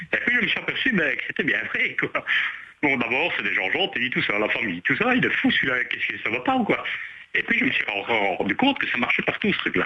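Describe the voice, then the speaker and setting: Through noticeable background noise, a man speaks at a fairly quick pace. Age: 50s. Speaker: radio caller. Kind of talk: casual chat. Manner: halting.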